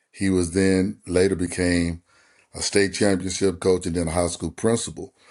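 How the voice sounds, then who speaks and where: With a West Texas accent, a man speaks in a very deep, low pitch and a flat monotone against a quiet background. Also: moderate pace. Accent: West Texas Southern US. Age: 60s. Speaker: former quarterback and basketball coach. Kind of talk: podcast interview.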